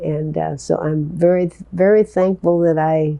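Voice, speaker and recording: A woman speaks with a Midwestern US accent and ordinary pitch variation. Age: 80s+. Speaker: hospice volunteer. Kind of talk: interview answer. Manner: hesitant, repeating words.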